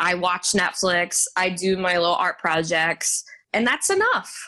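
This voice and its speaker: The voice has an American accent and a bright, sharp tone. Its pace is fairly slow. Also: woman. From Texas, Garland suburb of Dallas. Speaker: Broadway singer and actress. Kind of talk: interview.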